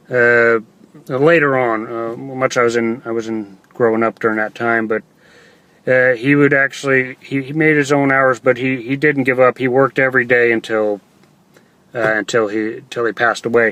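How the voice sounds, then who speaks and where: A man with an American accent speaks in a bright, sharp tone at a medium pitch, keeping a moderate pace and fairly even intonation. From Texas. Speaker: online entrepreneur vlogger. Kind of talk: livestream monologue. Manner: halting, many fillers.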